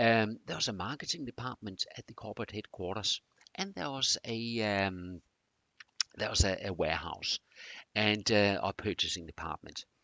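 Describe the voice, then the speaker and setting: With a slight Danish accent, a man talks at a moderate pace with a fairly low pitch. His loudness swings a lot. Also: ordinary pitch variation. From Denmark. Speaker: presenter on continuous improvement. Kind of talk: presentation. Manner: hesitant, many fillers.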